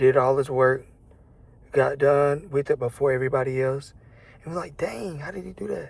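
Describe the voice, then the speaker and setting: A man speaks in a somewhat breathy voice, leaving long, frequent pauses. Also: fairly high pitch for a man, moderate pace, big swings in loudness. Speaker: vlogger. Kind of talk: casual monologue to camera. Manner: casual, hesitant with fillers.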